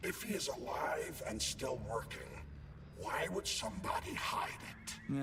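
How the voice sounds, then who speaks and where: A man's put-on character voice at a fairly slow pace over loud background noise. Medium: game stream. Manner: earnest, insistent.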